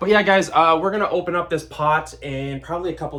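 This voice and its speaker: A man's speech, with ordinary pitch variation and a moderate pace, comes through noticeable background noise. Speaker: houseplant YouTuber. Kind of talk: casual tutorial. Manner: casual, rambling.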